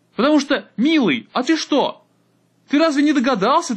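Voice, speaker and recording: A man speaks at an extremely high pitch and a moderate pace. The background is quiet. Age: 20s. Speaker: podcaster. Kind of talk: solo monologue.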